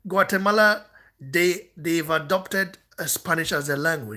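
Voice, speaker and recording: A man's raised, projected voice, bright and sharp in tone, with lively intonation. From Nigeria. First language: not English. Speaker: boxing channel host. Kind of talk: heated rant responding to comments.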